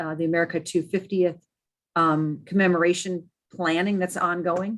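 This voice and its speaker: Her pitch is medium and varies in an ordinary way. The woman's background is quiet. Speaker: state archives administrator. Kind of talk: meeting update. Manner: fast.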